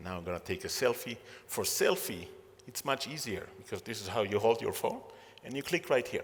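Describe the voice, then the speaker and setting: A man with a non-native accent at a fairly quick pace, his loudness swinging widely. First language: not English. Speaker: entrepreneur and keynote speaker. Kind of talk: keynote talk. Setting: stage with audience. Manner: halting, many fillers.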